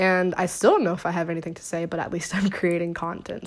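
A woman speaks with an American accent in a fairly low voice. Her pace is fairly quick and her intonation fairly even.

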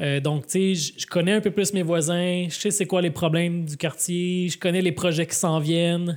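A man speaks at a fairly slow pace in a high, monotone voice with flat intonation and hardly any pauses. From Quebec, Laval. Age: 30s. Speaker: mayor and author. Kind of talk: live podcast interview. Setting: public event with audience.

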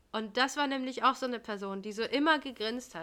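A woman with a high pitch and a bright, sharp tone speaks at a moderate pace with ordinary pitch variation. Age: 30s. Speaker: podcast co-host, daycare worker. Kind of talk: casual chat.

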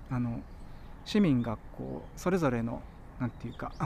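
A man talks with lively intonation. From Tokyo, Musashino area. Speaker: author and cycling policy advocate. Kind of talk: casual interview chat. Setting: outdoors by a riverbank.

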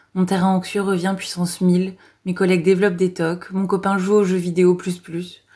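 A woman speaks at a moderate pace and a medium pitch. Her tone is dark and mellow, her intonation monotone and flat. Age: 30s. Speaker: clinical psychologist. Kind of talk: audio diary. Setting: hospital. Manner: halting.

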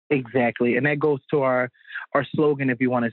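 Flat, monotone intonation from a man at a medium pitch. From Philadelphia. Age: 20s. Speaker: chef and catering business owner. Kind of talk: casual interview.

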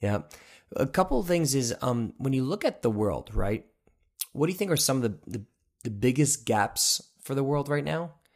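An animated tone and lively intonation at a moderate pace, broken by long, frequent pauses. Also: man, medium pitch for a man. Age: 20s. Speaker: podcast host. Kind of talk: casual interview.

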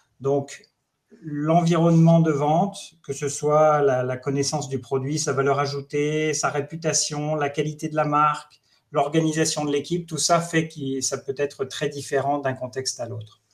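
At a fairly slow pace, a man talks in a somewhat breathy, fairly high voice with monotone, flat intonation. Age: 50s. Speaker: HR director and startup founder. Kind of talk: webinar panel discussion.

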